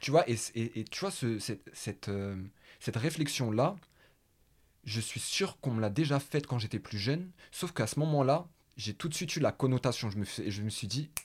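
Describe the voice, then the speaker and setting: On a very clean recording with a silent background, a man with a medium-pitched, somewhat breathy voice speaks at a moderate pace with lively intonation and long, frequent pauses. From Paris, France. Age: 20s. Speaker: podcast host. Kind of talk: casual conversation.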